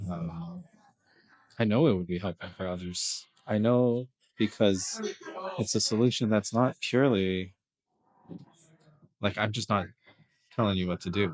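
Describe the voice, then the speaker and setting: A soft-spoken man mumbles at a fairly slow pace with a fairly low pitch, leaving long, frequent pauses. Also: ordinary pitch variation. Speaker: video blogger. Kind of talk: casual vlog monologue. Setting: kid's birthday party in an escape room. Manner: mumbling.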